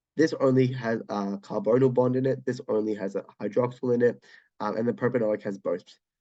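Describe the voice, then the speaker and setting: This man talks at a fairly quick pace with an Australian accent. His tone is dark and mellow. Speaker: chemistry tutor. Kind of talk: exam walkthrough tutorial. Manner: hesitant, casual, many filler words.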